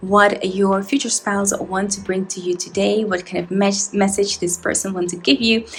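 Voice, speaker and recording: A woman's medium-pitched, monotone voice with flat intonation, a moderate pace, hardly any pauses, and noticeable background noise. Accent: non-native. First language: not English. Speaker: tarot reader. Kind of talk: tarot reading to camera.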